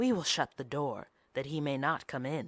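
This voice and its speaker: Growling in a put-on character voice, a man speaks at a fairly high pitch and moderate pace, with a dry, close sound and no echo. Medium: read story.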